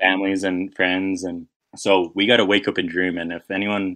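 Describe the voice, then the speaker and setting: Flat and monotone, a man talks at a fairly quick pace in a very deep, low pitch. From Alberta, Canada (Samson Cree Nation). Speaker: former hockey goalie and motivational speaker. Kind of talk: interview.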